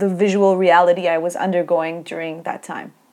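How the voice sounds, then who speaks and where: With a Turkish accent, a woman speaks in a fairly low pitch and a monotone, flat intonation. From Turkey. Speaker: academic researcher. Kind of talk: interview. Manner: hesitant with fillers.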